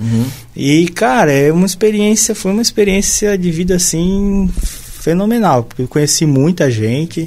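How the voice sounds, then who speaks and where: Speaking with a southern Brazilian accent, a man uses a high pitch and lively intonation at a moderate pace. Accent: southern Brazilian, sing-song. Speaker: biologist. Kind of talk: casual chat.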